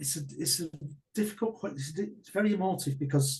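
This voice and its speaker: Fairly high in pitch, this man speaks with lively intonation. His voice rises and falls with energy. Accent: northern English. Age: 60s. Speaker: martial arts coach and business owner. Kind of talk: interview testimony. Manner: halting.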